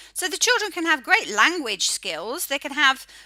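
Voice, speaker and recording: A woman with an English accent speaks in a raised, projected voice at a moderate pace. Her bright, sharp tone moves through very wide pitch swings. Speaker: phonics educator. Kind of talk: educational talk.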